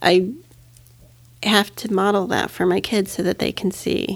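A woman speaks at a moderate pace and medium pitch with vocal fry, on a very clean recording with a silent background. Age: 40s. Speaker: parenting podcast co-host. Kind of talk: casual chat. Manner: animated, laughing often.

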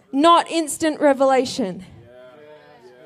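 On a very clean recording with a silent background, a woman with an Australian accent speaks with ordinary pitch variation. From South Australia. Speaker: pastor. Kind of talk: sermon. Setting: church.

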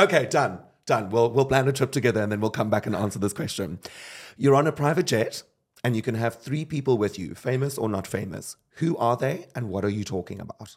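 Speaking at a fairly quick pace, a man with an ordinary speaking voice uses lively intonation at a medium pitch. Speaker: podcast host. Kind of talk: casual interview. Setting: studio.

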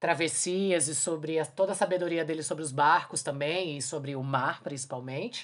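A woman speaks in an ordinary speaking voice at a fairly low pitch. Her pace is moderate and her pitch variation ordinary. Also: quiet background. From Brazil, Brasília. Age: 40s. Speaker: podcast host, singer and filmmaker. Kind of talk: casual chat.

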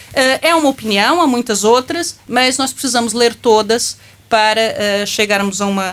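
In an unremarkable speaking voice, a woman talks at a moderate pace and a fairly high pitch with ordinary pitch variation. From Brazil. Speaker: law professor. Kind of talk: panel discussion.

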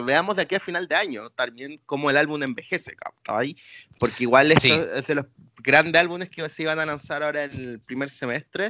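At a moderate pace, a man with a Chilean accent talks at a fairly high pitch with ordinary pitch variation. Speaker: podcast co-host. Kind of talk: casual chat. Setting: remote recording from home.

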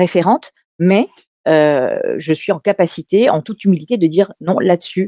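A woman with a medium pitch and ordinary pitch variation speaks in a dark, mellow tone, the sound dry and close with no echo on a very clean recording with a silent background. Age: 50s. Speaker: public speaking coach and agency head. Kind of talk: interview. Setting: live stream.

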